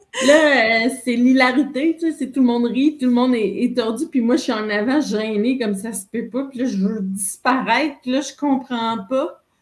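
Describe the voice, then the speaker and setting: A woman with a Quebec accent speaks in a high pitch with ordinary pitch variation. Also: moderate pace, hardly any pauses. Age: 50s. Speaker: entrepreneur. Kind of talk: interview conversation. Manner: animated.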